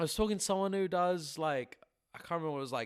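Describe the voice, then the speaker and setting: Speaking at a very fast pace, a man has a high pitch. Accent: English. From England. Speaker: musician. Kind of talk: casual chat.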